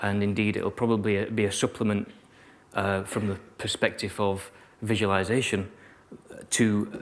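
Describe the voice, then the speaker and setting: A man with a Yorkshire accent speaks at a fairly low pitch in a monotone, flat way, with long, frequent pauses. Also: moderate pace. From Yorkshire, northern England. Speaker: keynote speaker, virtual reality designer. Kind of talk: keynote talk to students. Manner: sometimes mumbles; hesitant, many fillers and repetitions.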